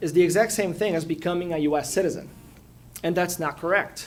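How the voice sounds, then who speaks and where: A fairly quick delivery with a Portuguese accent. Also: man. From Brazil, São Paulo. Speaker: immigration lawyer. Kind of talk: public talk at community forum. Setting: community forum with audience.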